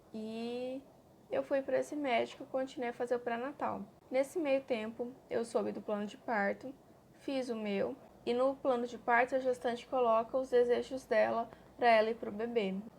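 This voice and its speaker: A high-pitched woman speaks with fairly even intonation. The recording is very clean, with a silent background. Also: moderate pace. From Brazil, Cuiabá, Mato Grosso. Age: 20s. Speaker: mother vlogger. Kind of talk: personal testimony vlog.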